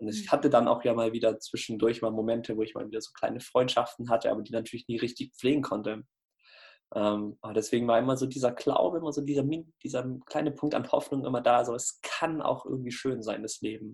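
Very rapid speech from a man, pitched at medium with fairly level intonation. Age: 20s. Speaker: anti-bullying coach. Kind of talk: interview. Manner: casual.

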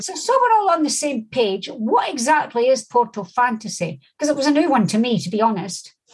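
A woman with a Scottish accent speaks at a high pitch with very wide pitch swings. Her pace is fairly quick. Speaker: podcast host. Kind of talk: interview.

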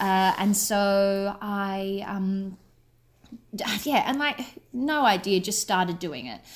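A woman with an Australian accent speaks at a very slow pace, her medium-pitched voice carrying lively intonation. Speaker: writer and actor. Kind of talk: casual radio interview. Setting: radio interview by call.

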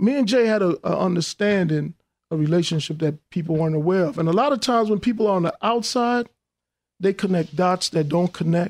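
A man with a New York accent speaks at a fairly quick pace with a high pitch, ordinary pitch variation and very even loudness, in a very clean recording with a silent background and a dry, close sound with no echo. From New York, Hollis, Queens. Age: 50s. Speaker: businessman and filmmaker. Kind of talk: interview.

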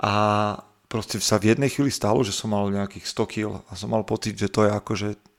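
Speaking in a normal speaking voice, a man with a fairly low pitch keeps a moderate pace and fairly even intonation. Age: 30s. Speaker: fitness coach and podcaster. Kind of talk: casual interview. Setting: remote call.

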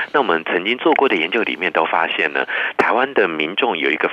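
Delivered at a fairly quick pace, the speech comes through noticeable background noise. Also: man. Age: 50s. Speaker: professor. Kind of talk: radio interview. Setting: remote line.

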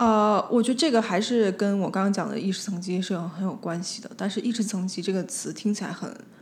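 Somewhat breathy and fairly even in intonation, the voice moves at a very fast pace with hardly any pauses, in audible room echo. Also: woman, medium pitch for a woman. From Beijing, China. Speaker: designer and spirit medium. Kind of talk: casual chat.

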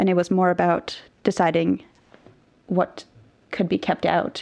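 A woman with a Norwegian accent. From Norway. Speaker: biblical scholar. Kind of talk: interview.

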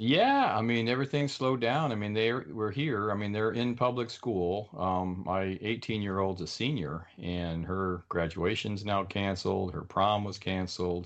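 With an ordinary speaking voice, a man talks at a fairly low pitch and a moderate pace, using ordinary pitch variation and hardly any pauses. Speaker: author and web developer. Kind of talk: interview. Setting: video call.

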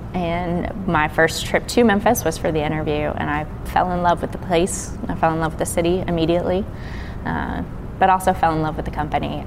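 A woman talks at a fairly quick pace. The recording has audible room echo and noticeable background noise. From Kentucky, near Cincinnati. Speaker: distiller. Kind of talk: interview.

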